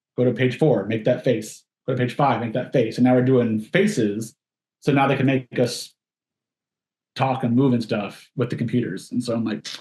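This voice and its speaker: Somewhat breathy delivery in a dark, mellow tone with ordinary pitch variation. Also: man, medium pitch for a man. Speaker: stunt performer. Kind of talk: casual interview chat. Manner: fast-talking.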